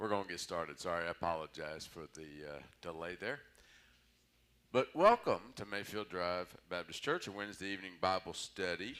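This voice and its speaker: Bright and sharp in tone yet very deep and low in pitch, a man talks at a moderate pace with ordinary pitch variation and big swings in loudness. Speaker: Bible study teacher. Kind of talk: Bible study lecture. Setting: church, livestreamed. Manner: casual, conversational.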